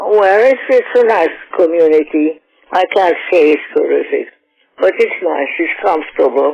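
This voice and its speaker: Over music in the background, a woman speaks at a fairly slow pace with very even loudness. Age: 80s+. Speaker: psychotherapist. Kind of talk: interview.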